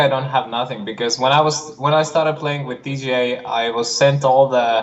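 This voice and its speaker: Noticeable background noise sits behind a speaker with an Estonian accent whose intonation stays fairly even. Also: man. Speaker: disc golf player. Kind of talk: casual livestream chat. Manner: halting.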